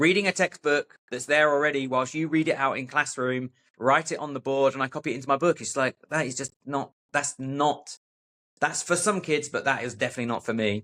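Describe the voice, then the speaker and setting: A man's bright, sharp voice at a fairly quick pace, with ordinary pitch variation and a dry, close sound with no echo. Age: 40s. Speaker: adventurer and author. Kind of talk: casual interview.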